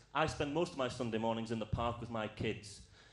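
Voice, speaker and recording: The pace is fairly quick. Room echo can be heard. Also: man. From Scotland, Outer Hebrides. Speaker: comedian. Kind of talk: stand-up. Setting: stage with audience.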